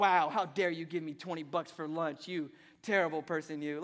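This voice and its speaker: The recording is very clean, with a silent background. A man puts on a character voice with a fairly high pitch. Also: moderate pace. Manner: mock outrage, sarcastic.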